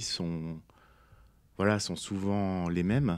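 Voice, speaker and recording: This man has a fairly low pitch. The background is quiet. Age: 40s. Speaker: poet and author; guest. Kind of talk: interview. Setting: studio. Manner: halting, many hesitations. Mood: calm, reflective. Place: studio. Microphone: studio mic.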